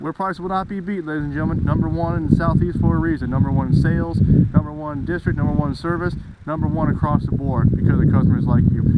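Very fast, upbeat talk from a man with hardly any pauses, set against noticeable background noise. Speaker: car salesman. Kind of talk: dealership pitchman radio-style ad, urging listeners to come on down for year-end deals. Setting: dealership promo video. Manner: upbeat, pushy, repetitive sales patter; fast, emphatic, salesman enthusiasm.

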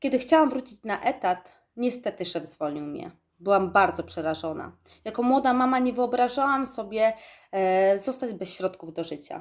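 Captured in a very clean recording with a silent background, a woman speaks at a high pitch with very wide pitch swings. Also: moderate pace. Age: 20s. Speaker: network marketing distributor. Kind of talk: testimony. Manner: formal.

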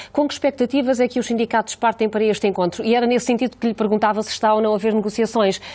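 Light background noise sits behind the voice. A woman talks at a very fast pace. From Portugal. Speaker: radio host. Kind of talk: call-in show moderating. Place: studio. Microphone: lapel.

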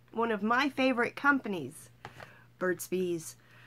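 A woman talks at a fairly high pitch, her voice swinging very widely in pitch. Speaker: vlogger. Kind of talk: casual vlog, unboxing and product review. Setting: home, self-recorded video.

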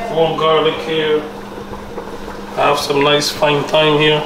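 A man speaks at a very slow pace in a monotone, flat intonation, with noticeable background noise. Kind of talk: casual cooking tutorial. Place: kitchen. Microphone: phone near.

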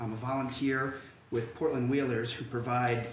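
Talking amid noticeable background noise, a man's voice carries audible room echo. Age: 50s. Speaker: city council candidate. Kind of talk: candidate forum statement. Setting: public forum with audience. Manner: halting, many fillers and repeats.

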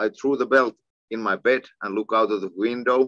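A man with a Finnish accent talks at a moderate pace in a bright, sharp tone with fairly even intonation against a quiet background. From Finland. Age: 40s. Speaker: kickboxing champion and coach. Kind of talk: casual interview. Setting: video call. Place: home room. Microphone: video call.

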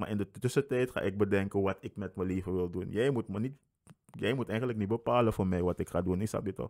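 Over a quiet background, a man talks at a very fast pace. His pitch varies in an ordinary way. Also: fairly low pitch for a man. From Suriname. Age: 20s. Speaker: podcast guest. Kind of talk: casual chat. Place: home room. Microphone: studio mic.

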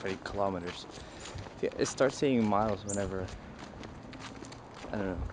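The pace is fairly quick as this man talks. Behind his voice, there is noticeable background noise. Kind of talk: casual vlog chat. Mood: dry, joking. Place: street. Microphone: phone near.

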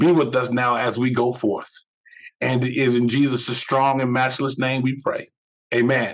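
A man's moderate-paced speech is heard over a quiet background. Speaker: bishop leading prayer. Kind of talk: fervent morning prayer, pastoral and devotional, with a short encouraging opening. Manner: earnest, solemn and heartfelt, rising with supplication; measured, rhythmic, preacherly cadence with repeated 'we ask you'. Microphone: webcam.

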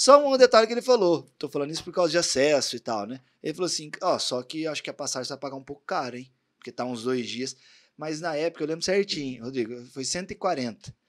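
Fairly quick speech with lively intonation and big swings in loudness. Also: man, fairly high pitch for a man, quiet background. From Brazil, Barretos, São Paulo state interior; São Paulo state, Brazil. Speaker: podcast host and tattoo artist; podcast host. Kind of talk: casual interview chat; motivational speech. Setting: studio. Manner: animated. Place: studio. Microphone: studio mic.

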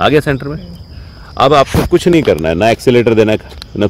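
A man talks at a moderate pace, his loudness swinging widely. The sound is dry with no echo, over light background noise. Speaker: vlogger. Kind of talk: casual vlog chat and tutorial. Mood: cheerful, joking. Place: open country. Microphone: phone near.

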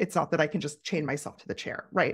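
A woman speaks with ordinary pitch variation on a very clean recording with a silent background. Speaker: curator and creative coach. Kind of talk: interview conversation. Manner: talkative, thinks out loud.

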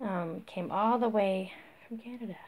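Somewhat breathy, a woman speaks at a fairly slow pace with fairly even intonation. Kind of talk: casual vlog chat. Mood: warm, delighted. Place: home room. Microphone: phone near.

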